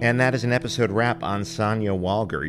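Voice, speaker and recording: The speaker has an American accent and keeps a moderate pace. The recording is very clean, with a silent background. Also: man. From New York City. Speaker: podcast host and actor. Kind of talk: casual interview.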